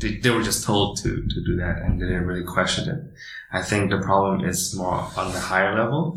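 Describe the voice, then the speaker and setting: Fairly low in pitch, a man talks with lively intonation amid audible room echo and noticeable background noise. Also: fairly quick pace. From Indonesia. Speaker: startup founder. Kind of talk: interview. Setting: office.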